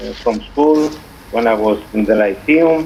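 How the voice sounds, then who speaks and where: A man with a Greek accent speaks at a fairly slow pace over noticeable background noise. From Cyprus. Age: 40s. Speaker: poet. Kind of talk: interview. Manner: halting.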